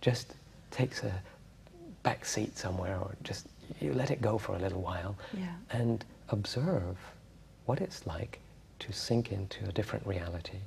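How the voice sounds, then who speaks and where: Somewhat breathy and fairly low in pitch, a man speaks at a moderate pace with long, frequent pauses. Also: ordinary pitch variation. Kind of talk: calm talk about meditation in an interview. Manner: soft-spoken, calm.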